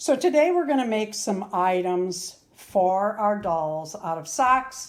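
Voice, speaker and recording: Speaking at a very slow pace, a woman keeps her intonation lively. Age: 60s. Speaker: doll crafter and video host. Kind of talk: craft tutorial. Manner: casual, chatty.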